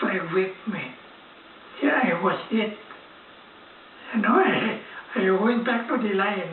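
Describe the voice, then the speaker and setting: A man's high voice at a fairly slow pace, with long, frequent pauses and noticeable background noise. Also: ordinary pitch variation. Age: 80s+. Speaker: war veteran. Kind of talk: interview answer.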